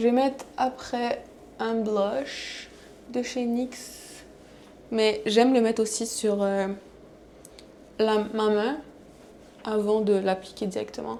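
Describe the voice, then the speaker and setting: A woman speaks at a very slow pace in a fairly high voice, her intonation monotone and flat, with long, frequent pauses. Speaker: vlogger. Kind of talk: casual vlog talk to camera. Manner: halting, code-switching French and English.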